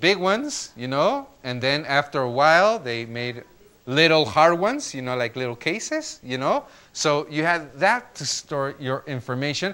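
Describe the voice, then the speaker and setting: Speaking with a Spanish accent, a man has a fairly high pitch and a bright, sharp tone. His pace is moderate. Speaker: lecturer / teacher. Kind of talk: classroom lecture. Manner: halting, with many fillers.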